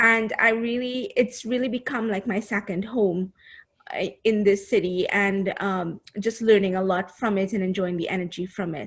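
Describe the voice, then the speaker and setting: Against a quiet background, a woman with a somewhat breathy voice talks at a moderate pace with fairly even intonation. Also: medium pitch for a woman. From Trinidad and Tobago. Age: 30s. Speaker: business coach. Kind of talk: casual chat.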